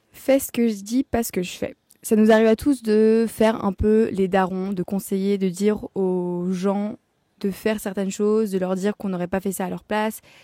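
Speaking at a moderate pace, a woman has a medium pitch, a dark, mellow tone and fairly even intonation. The recording is very clean, with a silent background and a dry, close sound with no echo. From France. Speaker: podcaster. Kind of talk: casual monologue. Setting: outdoors in her garden. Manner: casual, self-correcting.

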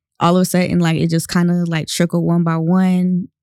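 The voice carries a Southern US accent at a moderate pace. The sound is dry and close, with no echo. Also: woman. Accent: Southern US, country. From North Carolina, US. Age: 20s. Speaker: guest, campaign participant. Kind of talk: casual interview chat.

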